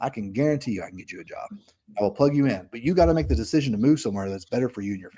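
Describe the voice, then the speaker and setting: A man with a Southern US accent talks very fast in a medium pitch with a dark, mellow tone. His pitch swings very widely and his loudness varies a lot. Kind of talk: casual, conversational.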